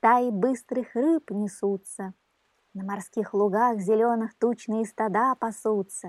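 In a quiet setting, the words are read aloud in a natural voice.

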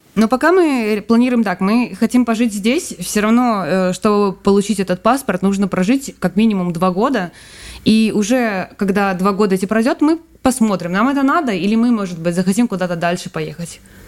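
A woman talks at a moderate pace with a medium pitch and ordinary pitch variation. She has a plain, everyday voice. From Belarus. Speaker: emigrant, guest's wife. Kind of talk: casual interview.

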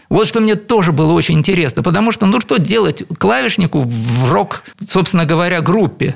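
Noticeable background noise sits behind this recording. A man talks at a fairly quick pace in a high voice. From Leningrad, Russia. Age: 60s. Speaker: composer and keyboardist. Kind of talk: radio interview. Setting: radio studio.

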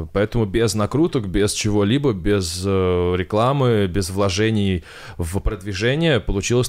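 In a normal speaking voice, a man talks at a fairly slow pace with a fairly low pitch, ordinary pitch variation and very even loudness. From Kovrov, Russia. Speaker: science YouTuber. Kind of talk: casual interview.

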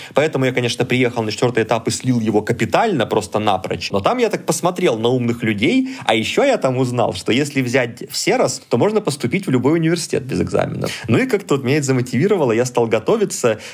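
A man talks at a very fast pace with hardly any pauses. His loudness stays very even. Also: medium pitch for a man, lively intonation. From southern Russia, Rostov region. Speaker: computer science lecturer. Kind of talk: casual interview.

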